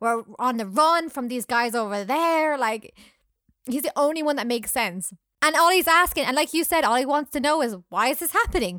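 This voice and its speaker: A woman's raised, projected voice in a Scottish accent, high-pitched with a bright, sharp tone, lively intonation and a moderate pace, on a very clean recording with a silent background. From Scotland. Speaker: podcast host. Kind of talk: casual chat, film review. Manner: animated, humorous.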